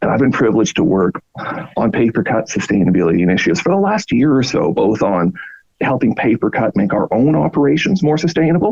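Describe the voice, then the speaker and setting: With a Canadian accent, a man talks at a fairly quick pace in a medium pitch. His voice swings very widely in pitch, heard dry and close with no echo. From Canada. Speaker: product marketing manager. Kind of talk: podcast interview. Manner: animated.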